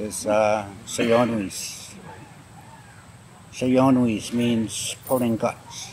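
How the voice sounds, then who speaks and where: A man with an American accent talks at a medium pitch in a monotone, flat delivery, with noticeable background noise behind him. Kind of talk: interview. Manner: halting, with repetitions.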